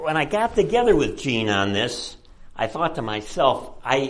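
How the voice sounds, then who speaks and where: A man talks at a moderate pace with very wide pitch swings. The room echo is audible and background noise is noticeable. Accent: American. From Chicago. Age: 70s. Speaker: retired professor and author. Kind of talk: lecture. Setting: presentation to an audience at a library.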